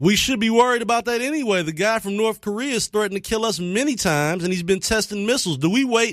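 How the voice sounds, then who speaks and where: The speaker has an animated tone, ordinary pitch variation and a very fast pace. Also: man, high pitch for a man. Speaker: radio talk show host. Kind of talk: call-in talk radio debate.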